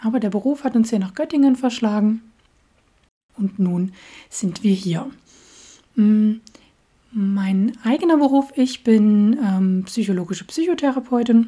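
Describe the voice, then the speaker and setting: A woman with a fairly high, somewhat breathy voice speaks at a very slow pace with ordinary pitch variation and long, frequent pauses. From Saxony, Dresden. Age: 30s. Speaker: podcast host. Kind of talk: casual monologue.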